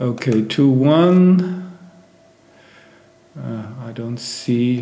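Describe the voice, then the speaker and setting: A man with a non-native accent speaks at a medium pitch with ordinary pitch variation, his voice carrying audible room echo over noticeable background noise. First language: not English. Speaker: backgammon player and streamer. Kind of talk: live game commentary. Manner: hesitant, many fillers.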